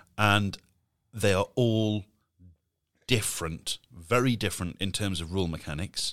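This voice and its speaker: In a very clean recording with a silent background and a dry, close sound with no echo, a man with an English accent speaks in a playful tone at a fairly slow pace, using a fairly low pitch, ordinary pitch variation, and long, frequent pauses. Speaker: podcast co-host. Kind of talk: casual chat. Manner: joking, playful.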